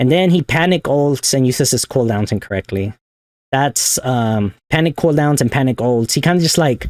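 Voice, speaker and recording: The loudness stays very even, and the sound is dry and close with no echo. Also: man, medium pitch for a man, ordinary pitch variation. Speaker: gaming coach. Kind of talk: tutorial. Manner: fast; casual.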